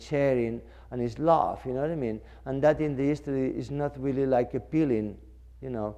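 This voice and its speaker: A man speaks with a non-native accent in a dark, mellow tone. His intonation stays fairly even. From Mallorca, Spain. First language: Spanish or Catalan. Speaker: fashion designer. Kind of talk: interview talk. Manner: halting, filler-heavy.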